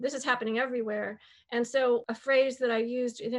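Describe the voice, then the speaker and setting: Fairly quick, flat, monotone delivery with an American accent. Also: woman. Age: 60s. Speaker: biologist and author. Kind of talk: interview.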